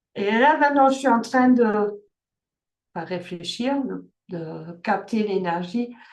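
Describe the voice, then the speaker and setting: Long, frequent pauses break up this woman's speech. She talks at a very slow pace with a fairly high pitch. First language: German (speaking French). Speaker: life coach. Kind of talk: online workshop talk. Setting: video call. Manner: halting, many fillers and restarts.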